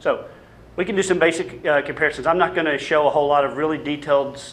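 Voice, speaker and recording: Over noticeable background noise, a voice with a slight Arkansas accent goes at a very fast pace with fairly even intonation. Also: man. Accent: slight Southern (Arkansas). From US South, Little Rock, Arkansas. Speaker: public health dentist, campaigner. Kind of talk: panel presentation with slides. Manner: hesitant, many fillers and restarts.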